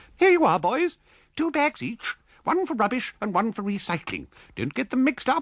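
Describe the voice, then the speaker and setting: Putting on a character voice at an extremely high pitch, a man speaks at a moderate pace. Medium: read story. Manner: brisk, bright, forthright.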